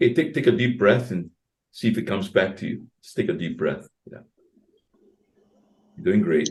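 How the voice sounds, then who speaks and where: A man speaks at a medium pitch and a moderate pace, with vocal fry and long, frequent pauses. His pitch swings very widely and his loudness swings a lot. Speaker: co-host, coach, former radio host. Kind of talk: webinar Q&A and closing. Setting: video call.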